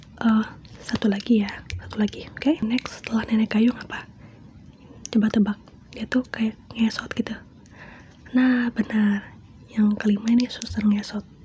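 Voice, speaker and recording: A soft-spoken woman whispers at a moderate pace, pausing long and often. Noticeable background noise runs underneath. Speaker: ASMR creator. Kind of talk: ASMR horror story reading to a close listener. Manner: soft-spoken, whispering, intimate.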